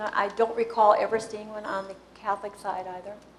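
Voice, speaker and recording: Noticeable background noise sits under a woman speaking with an American accent. Her pitch is fairly high and her pace fairly quick. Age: 70s. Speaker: local historian. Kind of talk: Q&A after a talk. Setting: public meeting with audience. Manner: informal, hesitant.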